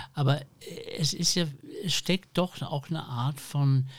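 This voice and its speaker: Here a man speaks in a somewhat breathy voice. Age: 60s. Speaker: podcast host and publisher. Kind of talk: panel discussion. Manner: hesitant with many fillers.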